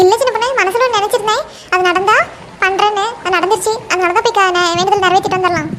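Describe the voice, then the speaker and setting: A cartoonish character voice from a woman, extremely high in pitch, at a fairly quick pace with fairly even intonation, over clear background noise. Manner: warm, rambling.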